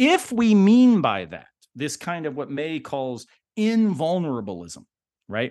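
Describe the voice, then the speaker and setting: Against a quiet background, a man with a fairly high pitch and an American accent speaks at a very slow pace, with very wide pitch swings and big swings in loudness. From US South. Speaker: philosopher. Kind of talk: casual chat.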